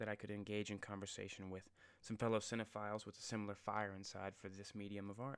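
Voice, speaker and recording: Very fast male speech, fairly low in pitch, in a monotone, flat intonation. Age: 20s. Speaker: podcast host. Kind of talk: solo podcast monologue. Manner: casual, filler-heavy.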